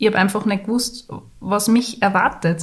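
This voice belongs to a woman. It carries a somewhat breathy quality. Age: 30s. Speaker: podcast co-host, mother and graphic designer. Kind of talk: casual chat.

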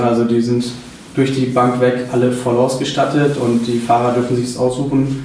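Noticeable background noise and audible room echo both run through the clip. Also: man. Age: 20s. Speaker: trucking business owner. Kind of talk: interview.

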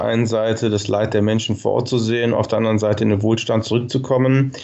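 A man's medium-pitched, fairly even voice amid noticeable background noise and audible room echo. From Germany, Cologne. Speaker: nonprofit marketing director. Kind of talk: interview.

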